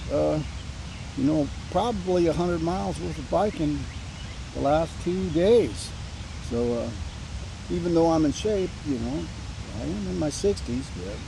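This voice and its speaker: A man talks at a moderate pace with long, frequent pauses, amid noticeable background noise and audible room echo. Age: 60s. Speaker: bikepacking vlogger. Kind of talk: casual vlog monologue. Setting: outdoors at campsite. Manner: casual, rambling pace.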